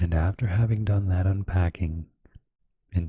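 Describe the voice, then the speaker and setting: A soft-spoken man's very deep, low voice, somewhat breathy, with fairly even intonation and a dry, close sound free of echo. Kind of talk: slow audiobook-style reading of a self-help book. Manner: soft-spoken, slow, relaxing.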